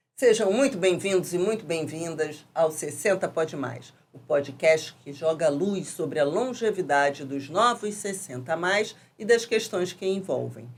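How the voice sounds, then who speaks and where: A woman with a fairly low pitch speaks at a fairly slow pace, with big swings in loudness and noticeable background noise. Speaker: podcast host; architect and urban planner. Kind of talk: podcast interview questions.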